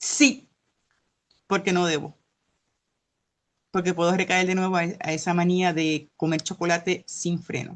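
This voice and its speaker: Against a quiet background, a woman with a fairly low pitch and ordinary pitch variation talks at a fairly slow pace with long, frequent pauses. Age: 60s. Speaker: class participant. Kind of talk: testimony.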